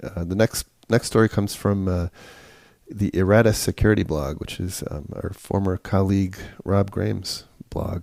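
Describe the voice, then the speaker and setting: On a very clean recording with a silent background, a man speaks in a dark, mellow tone at a fairly low pitch. His pace is moderate and his intonation fairly even, with a dry, close sound and no echo. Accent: American. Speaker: security podcast co-host. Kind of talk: casual discussion. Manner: halting, many fillers.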